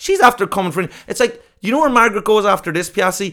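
With a southern Irish accent, a man talks at a fairly quick pace using lively intonation. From southern Ireland. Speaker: comedian. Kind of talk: casual chat.

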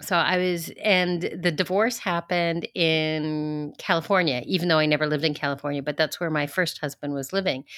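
A woman with a plain, everyday voice and a Canadian accent speaks at a fairly quick pace in a fairly low pitch with fairly even intonation. The recording is very clean, with a silent background. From Canada, Ontario (Toronto). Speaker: rental agency founder. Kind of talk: interview.

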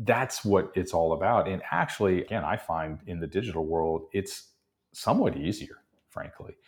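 A man speaks with an American accent and ordinary pitch variation, somewhat breathy. The recording is very clean, with a silent background. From Texas. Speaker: marketing keynote speaker and author. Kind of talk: interview.

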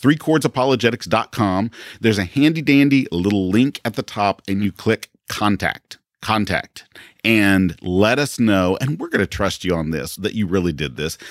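A man with a normal speaking voice talks at a moderate pace, fairly low in pitch, with lively intonation. The recording is very clean, with a silent background. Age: 50s. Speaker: podcast host and pastor. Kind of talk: casual chat; interview. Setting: studio.

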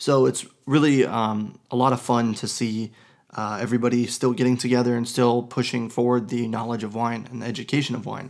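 A man talks at a fairly quick pace in a medium-pitched voice with flat, monotone intonation. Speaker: wine podcast host, sommelier. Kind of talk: casual solo podcast monologue. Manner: hesitant, many fillers.

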